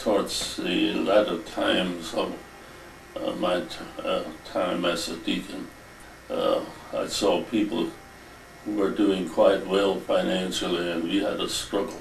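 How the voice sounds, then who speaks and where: Against noticeable background noise and audible room echo, a man speaks at a fairly slow pace with long, frequent pauses. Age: 80s+. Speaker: retired carpenter and former deacon. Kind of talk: interview reminiscence. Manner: halting, many hesitations.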